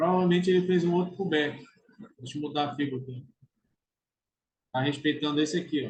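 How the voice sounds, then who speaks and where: Talking at a fairly quick pace broken by long, frequent pauses, a man with a fairly high pitch sounds somewhat breathy, with ordinary pitch variation. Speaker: trading educator. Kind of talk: tutorial. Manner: casual.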